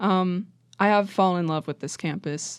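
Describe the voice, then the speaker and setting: A woman with a plain, everyday voice talks at a moderate pace, her pitch medium with ordinary variation. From West Virginia (Wheeling). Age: 20s. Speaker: college student, photographer. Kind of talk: casual chat.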